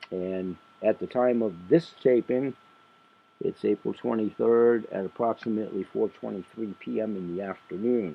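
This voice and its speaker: This man has a fairly low pitch. His pitch variation is ordinary. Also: moderate pace. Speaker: independent sales marketer. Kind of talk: podcast monologue. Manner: rambling, conversational.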